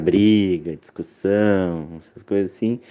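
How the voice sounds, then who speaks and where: A man is speaking here. His intonation stays fairly even. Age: 30s. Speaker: physiotherapist and university lecturer. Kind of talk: interview. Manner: hesitant, many fillers.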